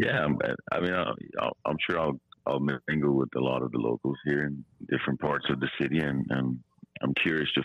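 This man's voice has very deep, low pitch and vocal fry. His intonation is fairly even. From Armenia, Abovian. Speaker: podcast regular calling in from abroad. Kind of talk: casual chat. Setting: remote call from Yerevan.

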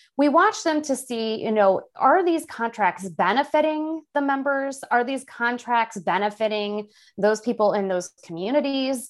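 In a Midwestern American accent, a woman speaks at a high pitch with lively intonation, fairly slowly and with hardly any pauses. The recording is very clean, with a silent background. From central Illinois. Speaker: staff attorney and labor policy expert. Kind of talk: podcast interview.

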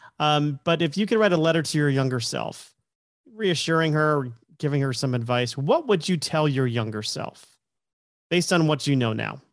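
A man's fairly high voice, a normal speaking voice with ordinary pitch variation. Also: moderate pace. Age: 40s. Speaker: podcast host. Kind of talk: interview conversation.

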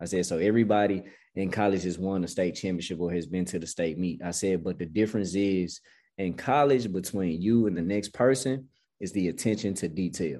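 With an American accent, a man speaks at a fairly quick pace in a very deep, low pitch and a dark, mellow tone. His pitch variation is ordinary, and the background is quiet. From Memphis, Tennessee (US South). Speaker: college cross country head coach. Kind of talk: interview.

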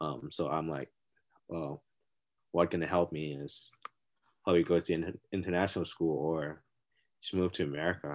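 A man with a Thai accent speaks at a moderate pace in a very deep, low pitch. His intonation is fairly even, with long, frequent pauses. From Thailand. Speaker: college golfer. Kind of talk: casual interview. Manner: halting.

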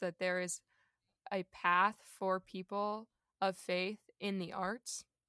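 In an American accent, the speaker has a bright, sharp tone and a fairly slow pace, on a very clean recording with a silent background and a dry, close sound with no echo. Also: woman. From US South, Cocoa Beach, Florida. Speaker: actress and theatre company founder. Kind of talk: casual interview.

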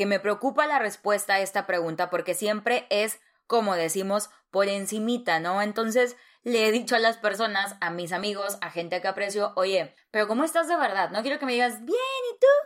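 A fairly high-pitched woman with an animated tone at a moderate pace. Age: 30s. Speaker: podcast host. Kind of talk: personal monologue.

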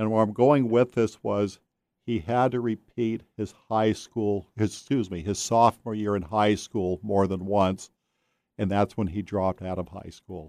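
A man with a plain, everyday voice speaks at a fairly slow pace, pitched fairly low, with fairly even intonation. The recording is very clean with a silent background and a dry, close sound with no echo. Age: 60s. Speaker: author. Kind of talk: casual chat.

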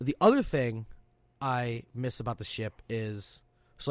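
Loud speech comes from a man with a medium pitch. The recording is very clean, with a silent background. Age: 30s. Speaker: Coast Guard sailor and podcast co-host. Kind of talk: casual chat.

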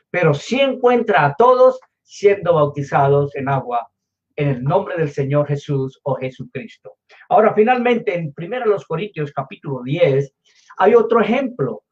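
A man's high-pitched voice moves through very wide pitch swings at a fairly slow pace. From Colombia. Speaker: pastor. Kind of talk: sermon.

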